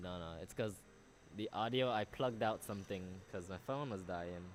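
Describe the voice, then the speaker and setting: A man with a Belizean accent speaks at a moderate pace, with a very deep, low pitch and ordinary pitch variation. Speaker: medical student and youtuber. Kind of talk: casual livestream chat. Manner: animated.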